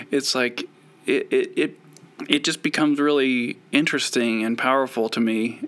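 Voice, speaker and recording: With an American accent, a man speaks in a plain, everyday voice at medium pitch and a moderate pace. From US West (Idaho and Utah). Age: 40s. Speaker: comic artist. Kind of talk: casual interview. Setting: video call.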